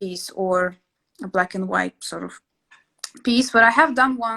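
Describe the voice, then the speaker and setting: A woman with a Russian accent speaks in a bright, sharp tone with ordinary pitch variation. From Latvia. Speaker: interior sketching instructor. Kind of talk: casual chat. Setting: live stream. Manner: hesitant, many fillers.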